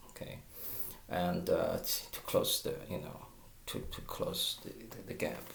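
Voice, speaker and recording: Pausing long and often, a man talks at a fairly slow pace with audible room echo. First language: Mandarin Chinese. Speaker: guitar teacher. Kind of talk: tutorial. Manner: halting, with stammers and fillers.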